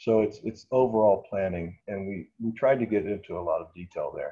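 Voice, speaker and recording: A man talks fairly slowly in a somewhat breathy voice with a dark, mellow tone. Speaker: architect presenting a museum project. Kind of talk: webinar presentation.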